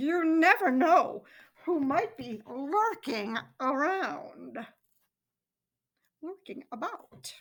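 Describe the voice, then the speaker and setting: With a high pitch in a put-on character voice, a woman speaks at a very slow pace, leaving long, frequent pauses. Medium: read story. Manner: suave, oily.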